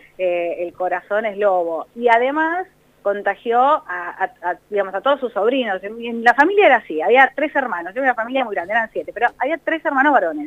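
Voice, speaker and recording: A woman talks at a fairly quick pace with hardly any pauses. Her fairly high pitch moves in very wide swings. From La Plata, Argentina. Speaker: TV news presenter. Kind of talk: casual interview.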